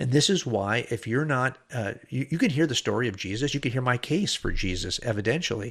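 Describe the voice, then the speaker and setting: In an unremarkable speaking voice, a man talks at a fairly quick pace with medium pitch and lively intonation, on a very clean recording with a silent background. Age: 60s. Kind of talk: podcast monologue.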